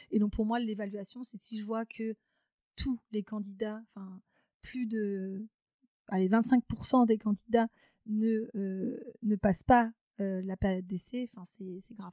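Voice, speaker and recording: A woman with a fairly high pitch and a dark, mellow tone speaks very slowly, with long, frequent pauses and fairly even intonation. Her loudness swings a lot, and the sound is dry and close with no echo. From France, Charente (rural). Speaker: HR and recruitment specialist. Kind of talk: interview. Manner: hesitant, many fillers.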